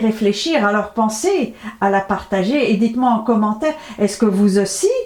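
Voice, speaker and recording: A woman with a fairly high pitch and lively intonation talks at a moderate pace against noticeable background noise. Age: 70s. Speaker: natural health vlogger. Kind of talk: health advice monologue to camera.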